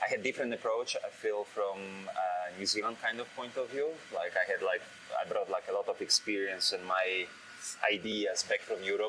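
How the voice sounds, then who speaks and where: A man talks at a moderate pace. There is noticeable noise in the background. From Poland. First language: Polish. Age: 30s. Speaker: head brewer. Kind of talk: interview. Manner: halting, with many fillers.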